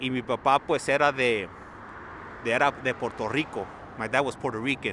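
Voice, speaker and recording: A man talks with a bright, sharp tone. His pitch is medium and his intonation fairly even. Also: fairly quick pace. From Los Angeles, California. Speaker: live stream plane spotting commentator. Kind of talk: live commentary. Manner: casual, chatty.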